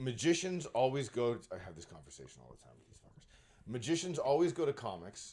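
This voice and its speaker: This man has a dark, mellow tone with vocal fry at a medium pitch, speaking at a fairly quick pace. His pitch swings very widely and his loudness shifts in big swings. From Canada (Brampton, Ontario). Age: 40s. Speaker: comedian and magician. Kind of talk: casual chat.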